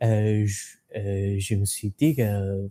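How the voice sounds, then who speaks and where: A man speaks at a very slow pace in a dark, mellow tone. The recording is very clean with a silent background and a dry, close sound with no echo. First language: not French (learner) (speaking French). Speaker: language learner, exam candidate. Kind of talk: interview. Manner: halting, many hesitations and repeats.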